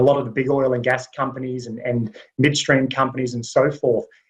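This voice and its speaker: Somewhat breathy, this voice carries an American accent. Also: man. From US South (Alabama). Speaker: executive search and leadership consultant. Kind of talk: webinar panel discussion.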